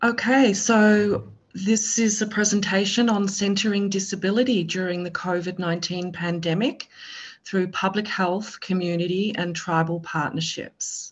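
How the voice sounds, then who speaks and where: With a strong Australian accent, a somewhat breathy woman speaks at medium pitch and a moderate pace, her intonation fairly even. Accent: Australian, thick. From Australia, Melbourne. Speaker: public health presenter. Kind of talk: webinar presentation.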